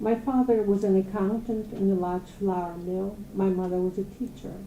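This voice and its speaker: A woman speaks at a moderate pace. Her medium-pitched voice has a dark, mellow tone. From Poland (Galicia, now Ukraine). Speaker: holocaust survivor. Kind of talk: testimony.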